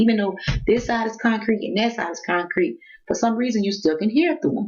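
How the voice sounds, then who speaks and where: Her voice sits fairly high. This woman speaks with lively intonation. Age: 40s. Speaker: vlogger. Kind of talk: casual rant vlog. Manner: loud.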